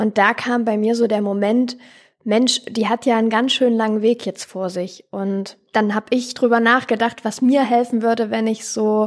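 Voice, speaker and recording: A woman speaks at a moderate pace with a fairly high pitch and flat, monotone intonation. The recording is very clean, with a silent background. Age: 20s. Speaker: charity co-founder and paramedic. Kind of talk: interview.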